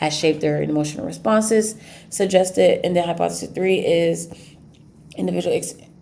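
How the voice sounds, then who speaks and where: A woman talks at a very fast pace. The room echo is clearly audible. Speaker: student. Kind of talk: class presentation. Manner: halting.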